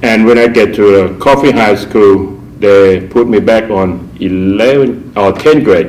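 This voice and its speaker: With a Thai accent, a man speaks very slowly at a fairly low pitch and ordinary pitch variation, with audible room echo and noticeable background noise. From Thailand. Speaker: artist. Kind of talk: personal storytelling interview. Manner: halting, with fillers.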